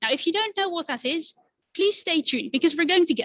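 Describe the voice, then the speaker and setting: A woman's lively intonation in a dry, close sound with no echo. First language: Dutch. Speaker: climate activist. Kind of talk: presentation. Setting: stage with audience. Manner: animated.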